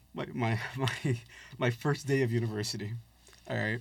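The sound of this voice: At a medium pitch and moderate pace, a man speaks with fairly even intonation, a slightly husky edge and vocal fry.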